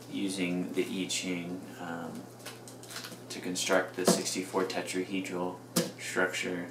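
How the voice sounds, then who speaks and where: Amid noticeable background noise and audible room echo, a man with a very deep, low voice speaks at a very slow pace in a monotone, flat way, with long, frequent pauses. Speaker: video blogger. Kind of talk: casual monologue. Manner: mumbling; halting. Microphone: mic may not pick up well, quiet.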